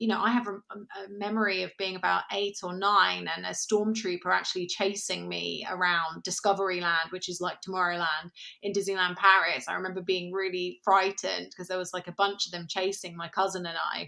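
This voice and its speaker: With a British accent, a woman talks at a fairly quick pace and a medium pitch, using flat, monotone intonation, a bright, sharp tone, big swings in loudness and hardly any pauses. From England. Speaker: podcast co-host. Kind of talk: casual chat.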